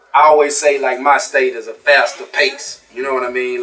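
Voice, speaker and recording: Speaking in a Louisiana accent at a moderate pace, a man with a fairly high pitch keeps a monotone, flat intonation over noticeable background noise. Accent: Southern US, Louisiana. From North Louisiana, small town. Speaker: rapper. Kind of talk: casual interview.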